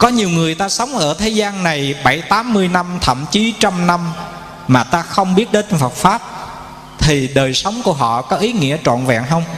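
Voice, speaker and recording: Over noticeable background noise, the voice moves at a moderate pace with very wide pitch swings. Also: man. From Vietnam, Bình Định. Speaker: Buddhist monk. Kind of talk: sermon. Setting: temple hall with audience.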